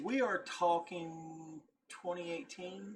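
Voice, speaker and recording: The speaker is a man. His words come in a Southern US accent. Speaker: YouTube reactor. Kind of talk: casual video reaction commentary. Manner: halting, self-correcting.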